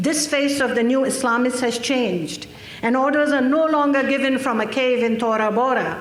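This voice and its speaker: Noticeable background noise and audible room echo surround a woman speaking at a high pitch and moderate pace with ordinary pitch variation. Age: 60s. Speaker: activist speaker. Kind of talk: conference speech. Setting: stage with audience.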